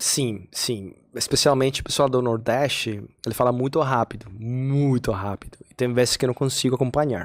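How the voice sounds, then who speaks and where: A man at a moderate pace with a Colombian accent, medium pitch, fairly even intonation and hardly any pauses. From Colombia, Cali. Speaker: podcast guest, immigrant father. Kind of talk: casual chat.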